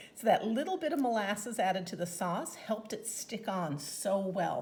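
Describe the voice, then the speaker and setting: This woman talks at a moderate pace with lively intonation. Her tone is enthusiastic. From Newfoundland, Canada. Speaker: home cooking demonstrator and product consultant; home cooking demonstrator. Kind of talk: cooking tutorial. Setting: home kitchen. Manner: chatty, enthusiastic. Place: kitchen.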